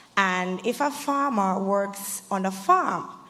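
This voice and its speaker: A woman speaks at a medium pitch, her pitch varying in an ordinary way, while noticeable background noise runs underneath. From Saint Vincent and the Grenadines. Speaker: student panelist. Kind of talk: panel discussion.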